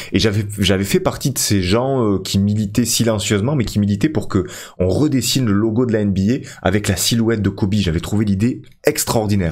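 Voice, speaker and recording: Over a quiet background, a man speaks at a moderate pace and a fairly low pitch, with ordinary pitch variation and very even loudness. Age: 30s. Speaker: gaming YouTuber; gaming streamer. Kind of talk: gameplay commentary. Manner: hesitant, many fillers. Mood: reflective, nostalgic about players.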